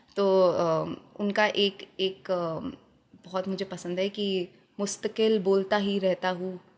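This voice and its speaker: A woman at medium pitch speaks in a monotone, flat way. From Jodhpur, Rajasthan. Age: 20s. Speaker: poet, spoken word artist. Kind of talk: interview answer.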